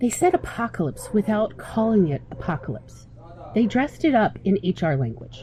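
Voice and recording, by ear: The text is read aloud in a natural voice.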